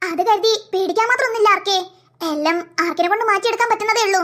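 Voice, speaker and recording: This is a cartoonish character voice at an extremely high pitch. The pace is fairly quick. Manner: patient, explanatory, reassuring.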